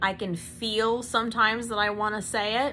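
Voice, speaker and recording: A woman at a fairly high pitch with a bright, sharp tone, a fairly slow pace, and audible room echo. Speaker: small business owner, vlogger. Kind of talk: casual vlog monologue. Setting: home recording to camera. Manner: uses filler um.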